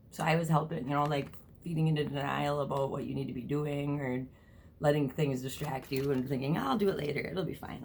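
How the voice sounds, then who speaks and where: A woman's very deep, low voice at a fairly quick pace, with fairly even intonation and audible room echo. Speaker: tarot reader. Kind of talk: tarot reading vlog. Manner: fast; casual, filler words.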